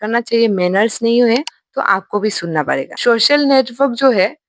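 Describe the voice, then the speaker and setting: A woman's animated voice with a non-native accent and ordinary pitch variation, in a dry, close sound with no echo. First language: not Hindi (speaking Hindi). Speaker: YouTuber, reaction commentator. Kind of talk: reaction commentary.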